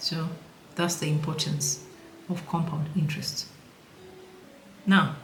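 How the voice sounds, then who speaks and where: A woman with a non-native accent speaks at a fairly slow pace in a very deep, low voice, her intonation monotone and flat, with long, frequent pauses. Noticeable background noise and audible room echo surround her. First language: not English. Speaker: personal finance educator. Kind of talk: tutorial. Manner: casual, playful.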